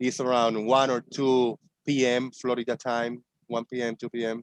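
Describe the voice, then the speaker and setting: A man speaks with a Spanish accent. The sound is dry and close, with no echo. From Puerto Rico. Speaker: online show host, ex-flat-earther. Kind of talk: casual chat.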